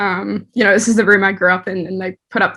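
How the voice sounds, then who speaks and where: A woman's medium-pitched voice in a New Zealand accent, bright and sharp in tone, at a fairly quick pace. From New Zealand (Dunedin), born in the Netherlands. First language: Dutch. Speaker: artist and art director. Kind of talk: interview. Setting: home, childhood bedroom.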